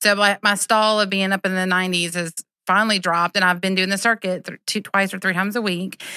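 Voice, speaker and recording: Speaking very fast in a Southern US accent, a woman has a medium pitch, a bright, sharp tone and monotone, flat intonation, with a dry, close sound with no echo and a very clean recording over a silent background. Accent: US South. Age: 40s. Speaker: teacher. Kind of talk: casual interview.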